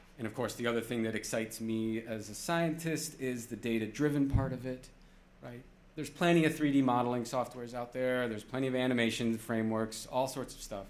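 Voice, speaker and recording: At a fairly quick pace, a man with a medium pitch speaks in a fairly even intonation, with audible room echo. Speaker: planetarium director giving a conference talk. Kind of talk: conference presentation. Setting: stage with audience. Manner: casual, with fillers.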